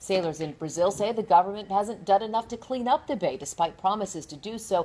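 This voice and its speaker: Here is a woman with a plain, everyday voice, medium pitch and an American accent. She talks at a fairly quick pace with lively intonation. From US, Armenian American family. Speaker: TV news anchor. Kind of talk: news reading. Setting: TV studio, Facebook Live.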